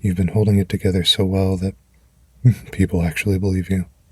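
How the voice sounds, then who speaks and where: Recorded with a dry, close sound and no echo, a man with a very deep, low pitch talks at a moderate pace in a somewhat breathy, monotone voice with flat intonation. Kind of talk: comfort affirmations. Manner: gentle, warm.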